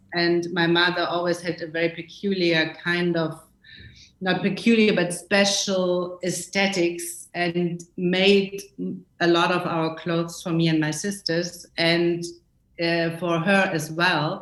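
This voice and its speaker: A woman speaks very slowly with a German accent at a fairly low pitch. Her intonation is flat and monotone. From West Germany, small town. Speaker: costume designer. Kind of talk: interview. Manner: halting.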